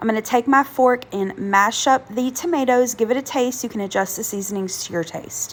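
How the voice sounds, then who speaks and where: Over noticeable background noise, a woman speaks fairly quickly in a fairly high voice. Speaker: home cook, cooking channel host. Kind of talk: casual cooking voiceover.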